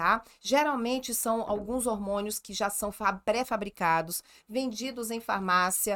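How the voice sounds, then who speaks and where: A woman at a fairly slow pace, animated in tone, with ordinary pitch variation, on a very clean recording over a silent background. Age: 40s. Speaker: gynecologist. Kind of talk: casual chat.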